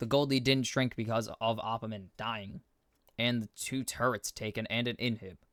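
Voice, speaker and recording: A man at a moderate pace and medium pitch, in a dry, close sound with no echo and a very clean recording with a silent background. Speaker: esports caster. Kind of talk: live commentary. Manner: loud; animated.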